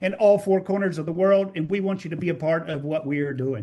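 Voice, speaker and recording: Fairly quick speech from a man, the pitch varying in an ordinary way. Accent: Texas. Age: 60s. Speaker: network marketing distributor. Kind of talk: testimony. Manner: animated.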